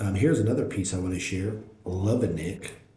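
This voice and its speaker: A man speaks at a moderate pace with a fairly low pitch and a dark, mellow tone. Audible room echo surrounds the voice. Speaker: NFT art reviewer, live streamer. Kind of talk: live stream art review, reading chat. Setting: live stream. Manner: loud, self-described; casual, filler-heavy with repetitions.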